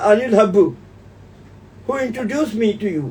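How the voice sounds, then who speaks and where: A man with an Indian accent speaks fairly quickly at an extremely high pitch, with ordinary pitch variation. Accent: Indian accent, self-noted. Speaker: homeopathy teacher. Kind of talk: webinar closing remarks.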